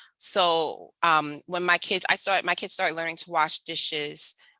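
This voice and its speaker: Speaking with an American accent, a woman with a fairly low, bright and sharp voice shows vocal fry and fairly even intonation, the sound dry and close with no echo. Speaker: homeschooling mom and math educator. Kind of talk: webinar presentation. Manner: fast.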